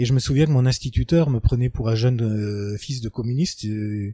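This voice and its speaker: In a dry, close sound with no echo, a man speaks with a dark, mellow tone, somewhat breathy, with ordinary pitch variation. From Lorraine, France (Moselle, Fensch valley). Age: 50s. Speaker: local resident interviewee. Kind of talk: testimony interview. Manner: hesitant, many fillers.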